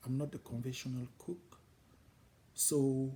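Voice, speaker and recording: With a non-native accent, a man talks in a medium pitch, his dark, mellow tone somewhat breathy. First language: French. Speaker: home cook, cooking channel host. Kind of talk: casual channel introduction talk. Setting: home kitchen. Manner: hesitant, with fillers.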